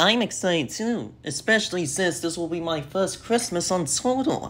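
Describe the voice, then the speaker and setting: The pitch sits in the middle range for this put-on character voice. Its delivery moves at a moderate pace. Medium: audio drama. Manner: eager.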